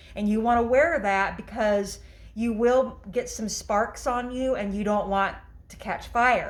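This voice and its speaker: The speech moves at a fairly slow pace with fairly even intonation. Audible room echo surrounds it. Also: woman, fairly high pitch for a woman. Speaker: DIY workshop presenter. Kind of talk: tutorial. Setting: garage workshop. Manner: loud; halting, many fillers.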